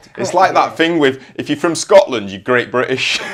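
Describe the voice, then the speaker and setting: A man with a fairly high-pitched voice talks over noticeable background noise. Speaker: podcast host. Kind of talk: podcast interview, casual talk.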